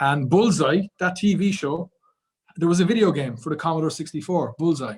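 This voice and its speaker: A man speaks with an Irish accent at a moderate pace. His pitch is fairly high, with ordinary pitch variation. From Ireland. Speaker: podcast guest. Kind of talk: casual chat.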